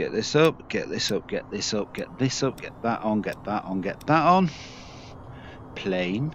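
A man talks at medium pitch and a fairly slow pace. His pitch swings very widely and his loudness rises and falls sharply. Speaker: gaming YouTuber. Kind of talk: casual gameplay commentary. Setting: wearing VR headset, playing game.

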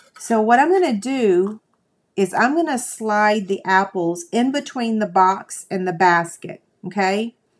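Woman with a Southern US accent, fairly high-pitched, lively in intonation and fairly slow in pace. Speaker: crafting video host. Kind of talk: casual live stream chat. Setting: live stream video. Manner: tired, chatty.

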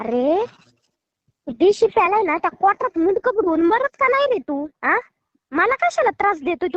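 A woman speaks in an animated tone at an extremely high pitch with very wide pitch swings. The sound is dry and close with no echo. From Maharashtra, Barshi (Solapur district). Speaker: prank call target, YouTuber. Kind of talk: angry phone argument. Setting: phone call. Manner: animated, scolding.

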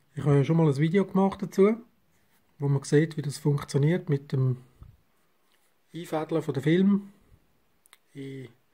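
A man with a Swiss accent speaks at a moderate pace in a dark, mellow tone with ordinary pitch variation. He leaves long, frequent pauses, and the background is quiet. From Switzerland. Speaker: analogue photographer. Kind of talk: darkroom tutorial. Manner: casual. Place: home room. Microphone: camera far.

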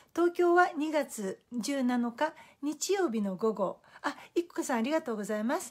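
A woman with a high voice and very wide pitch swings speaks at a fairly slow pace against a quiet background. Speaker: Facebook live host, life-planning and feng shui coach. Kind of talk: motivational talk. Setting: live video broadcast. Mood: warm, friendly. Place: home room.

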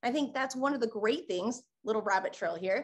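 Pitched high, a woman's voice shows ordinary pitch variation. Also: quiet background. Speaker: photographer and lawyer teaching photographers. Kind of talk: educational webinar talk. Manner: fast talker. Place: home room.

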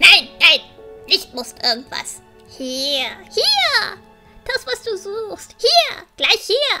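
With faint music in the background, a put-on character voice at an extremely high pitch talks very slowly, swinging very widely in pitch. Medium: audio drama. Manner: broken grammar, repetitive "ja, ja"; pushy and nagging.

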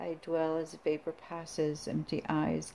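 Light background noise accompanies speech at a very slow pace. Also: woman. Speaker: poet and belly dancer channel creator. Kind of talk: poetry reading, solemn performed verse between casual chatty intros. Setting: home video, self-recorded. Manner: slow, deliberate, hushed dramatic delivery of the poems; casual, rambling, halting between poems. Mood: quiet, somber. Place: home room. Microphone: phone near.

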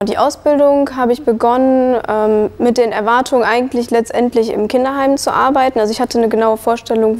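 At a fairly quick pace, a woman with a high pitch talks with hardly any pauses. Her intonation is fairly even. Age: 20s. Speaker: early childhood educator; trained childcare educator. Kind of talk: testimony. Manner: hesitant, many fillers. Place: hall. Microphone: lapel.

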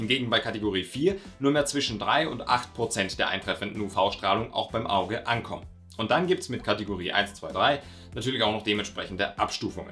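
Faint music plays in the background. The speech runs at a fairly quick pace with ordinary pitch variation. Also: man. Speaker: mountain sports educator. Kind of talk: explainer to camera.

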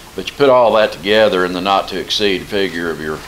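Noticeable background noise fills the recording. A man talks over it at a moderate pace. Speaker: financial advisor presenting to council. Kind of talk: formal presentation. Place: meeting room.

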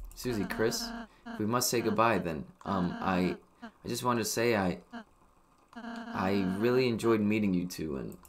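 Mumbling in a put-on character voice, the speaker goes at a moderate pace with ordinary pitch variation and long, frequent pauses. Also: man, medium pitch for a man. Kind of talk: polite, soft-spoken. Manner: mumbling, shy, muffled.

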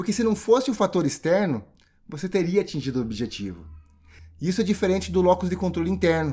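Speaking very fast, a man uses a high pitch and lively intonation. His tone is dark and mellow. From Brazil, Curitiba. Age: 30s. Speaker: leadership trainer. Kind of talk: online course lecture.

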